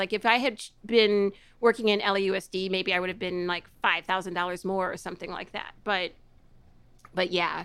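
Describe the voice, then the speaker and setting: In a Midwestern accent, a woman speaks at a fairly quick pace with a bright, sharp tone and medium pitch on a very clean recording with a silent background. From US Midwest, Chicago area (DeKalb). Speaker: former teacher and editor. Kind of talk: casual interview. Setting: at home.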